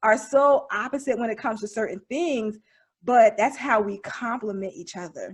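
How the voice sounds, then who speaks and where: An animated woman speaks at a moderate pace with a fairly high pitch and ordinary pitch variation. Her voice is somewhat breathy, with big swings in loudness. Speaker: podcast co-host. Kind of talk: casual chat.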